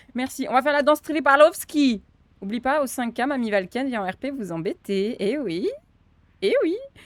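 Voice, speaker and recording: Her voice is high for a woman, with very wide pitch swings. She keeps a moderate pace. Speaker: streamer and roleplay server staff. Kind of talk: live stream chat; staff briefing. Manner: animated. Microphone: mic too quiet versus game audio.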